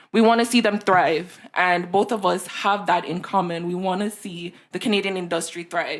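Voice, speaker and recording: A woman with a Jamaican accent, medium pitch and fairly even intonation, at a moderate pace with hardly any pauses. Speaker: podcast co-host. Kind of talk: casual chat. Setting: in person.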